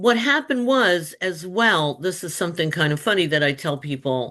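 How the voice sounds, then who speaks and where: Against a quiet background, a woman with a fairly low pitch and a bright, sharp tone talks at a moderate pace, her pitch swinging very widely. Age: 70s. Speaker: children's book author, former teacher. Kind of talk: interview.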